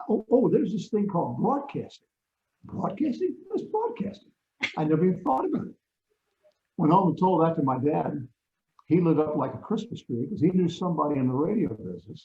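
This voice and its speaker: Taking long, frequent pauses, a man speaks at a high pitch with very wide pitch swings. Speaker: radio broadcaster. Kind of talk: interview answer.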